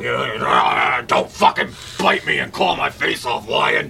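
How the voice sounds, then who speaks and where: A put-on character voice goes at a very slow pace over clear background noise. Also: man. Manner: frantic, fearful, cursing.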